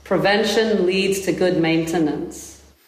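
A woman at medium pitch speaks at a fairly slow pace with ordinary pitch variation. Noticeable background noise and audible room echo fill the recording. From South Africa. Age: 40s. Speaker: healer and teacher. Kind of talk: interview.

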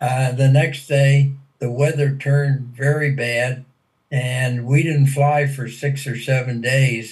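Very slow and somewhat breathy, a man with an American accent speaks in a monotone, flat intonation. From Pennsylvania, US (small town). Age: 80s+. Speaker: WWII veteran fighter pilot. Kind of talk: interview, personal war testimony. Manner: hesitant, many fillers.

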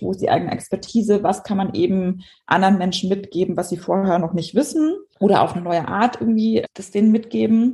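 A dark, mellow, somewhat breathy voice moves at a fairly quick pace with ordinary pitch variation. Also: woman. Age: 30s. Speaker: entrepreneur and brand strategist. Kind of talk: casual chat.

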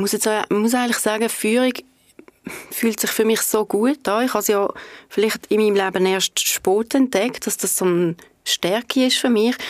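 A woman with an ordinary speaking voice talks at a moderate pace, fairly high in pitch. Her intonation is fairly even, and the sound is dry and close with no echo. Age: 50s. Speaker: head of marketing at an energy company. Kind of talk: podcast interview. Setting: studio.

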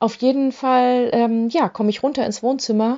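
This is a woman speaking. Her pace is moderate. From rural Germany. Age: 40s. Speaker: podcast host, single-mom dating coach. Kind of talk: casual monologue. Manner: filler-heavy, informal.

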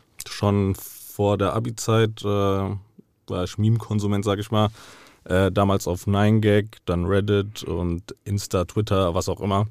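Over a silent background in a very clean recording, a man speaks very slowly in a fairly low, monotone voice with flat intonation. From Frankfurt, Hesse, Germany. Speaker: meme page creator. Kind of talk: interview. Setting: studio.

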